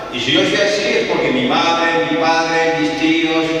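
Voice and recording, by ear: Strong room echo surrounds a man speaking at a fairly high pitch.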